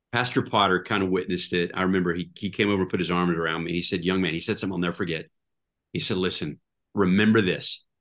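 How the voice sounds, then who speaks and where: The speech moves at a very fast pace in a monotone, flat intonation. The background is quiet. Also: man, very deep, low pitch for a man. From Oklahoma, Tulsa. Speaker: pastor. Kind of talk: interview conversation.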